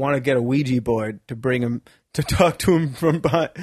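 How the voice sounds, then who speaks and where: With an unremarkable speaking voice, this man keeps a moderate pace. His medium pitch shows ordinary variation. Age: 30s. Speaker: comedian. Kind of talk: casual chat.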